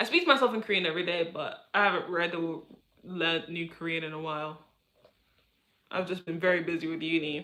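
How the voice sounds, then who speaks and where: Speaking very fast in a London accent, a woman uses a fairly low pitch and fairly even intonation, broken by long, frequent pauses. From London, England. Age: 20s. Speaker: streamer. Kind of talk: casual chat. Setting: live stream. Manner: halting.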